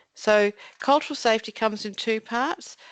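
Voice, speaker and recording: Against a quiet background, a woman with an Australian accent speaks at a moderate pace in a fairly high pitch, with ordinary pitch variation and a dry, close sound with no echo. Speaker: mental health commission staff presenter. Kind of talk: webinar presentation with screen demo. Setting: online webinar. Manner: casual, self-narrating.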